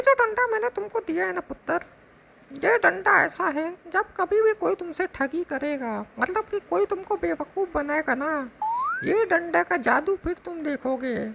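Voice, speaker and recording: A cartoonish character voice pitched extremely high. It moves at a moderate pace. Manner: warm, reassuring.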